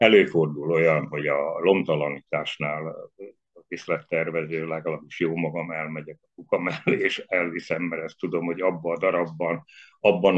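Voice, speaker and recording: With a very deep, low pitch and monotone, flat intonation, a man talks at a moderate pace. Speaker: theatre set designer. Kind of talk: interview.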